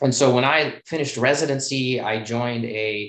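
A man with an American accent has an ordinary speaking voice. His intonation is fairly even at a medium pitch. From US Midwest, Chicago. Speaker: plastic surgeon. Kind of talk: casual interview.

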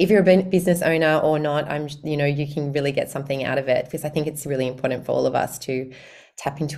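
Very fast, with fairly even intonation, a woman talks in a very deep, low pitch. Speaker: podcast host and wealth and mindset coach. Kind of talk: casual interview.

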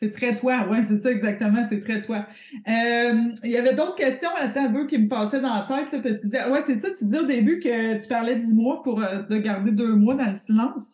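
Over noticeable background noise, a woman with a Quebec accent speaks at a fairly high pitch with ordinary pitch variation. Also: moderate pace. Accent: Québécois French. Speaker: podcast host, business coach. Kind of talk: casual chat.

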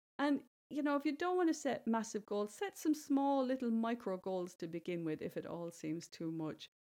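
On a very clean recording with a silent background, a woman with an Irish accent speaks at a moderate pace, her high, dark, mellow voice making very wide pitch swings. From Ireland, rural village. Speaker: podcast host and bestselling author. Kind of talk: solo podcast monologue, motivational talk.

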